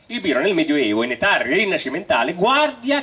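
Noticeable background noise surrounds a man speaking at a moderate pace, his high-pitched voice making very wide pitch swings. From Romagna, Italy. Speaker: storyteller. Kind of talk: live stage comedy talk to audience.

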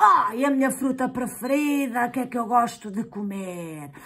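A cartoonish character voice, fairly high in pitch, speaks at a moderate pace. Clear background noise is audible. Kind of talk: children's puppet show dialogue. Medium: puppet.

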